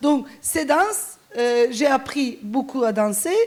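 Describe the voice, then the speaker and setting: This woman's high-pitched voice shows ordinary pitch variation. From Turkey. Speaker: sociologist and activist. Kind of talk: conference talk. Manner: halting, many hesitations.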